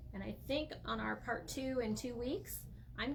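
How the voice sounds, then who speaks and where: The pace is fairly slow. There is audible room echo along with noticeable background noise. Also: woman. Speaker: craft tutorial livestreamer. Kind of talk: live tutorial. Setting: livestream. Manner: loud; casual.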